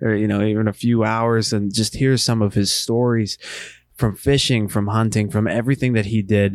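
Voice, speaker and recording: A man with an American accent speaks in an ordinary speaking voice. His pitch is fairly low and his intonation fairly even. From Western Pennsylvania. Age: 30s. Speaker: hunting podcast host. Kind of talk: casual monologue. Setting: home basement.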